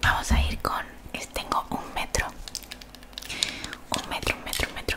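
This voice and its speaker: Against loud background noise, a soft-spoken woman whispers. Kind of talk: ASMR role-play. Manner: soft repeated ASMR whispering. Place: home room. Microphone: studio mic.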